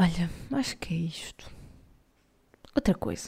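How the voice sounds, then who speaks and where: A woman with a European Portuguese accent speaks at a fairly slow pace. Her voice is fairly low in pitch, with a dark, mellow tone. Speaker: podcast host. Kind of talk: casual monologue.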